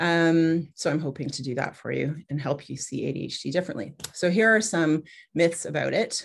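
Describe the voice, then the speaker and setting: With a Canadian accent and vocal fry, a woman talks in a very deep, low pitch with ordinary pitch variation against a quiet background. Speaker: pediatrician. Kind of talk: webinar presentation. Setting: video call. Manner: fast.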